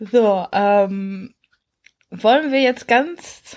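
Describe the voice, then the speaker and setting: A woman's fairly high voice carries lively intonation. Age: 20s. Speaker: author and blogger. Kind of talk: casual chat.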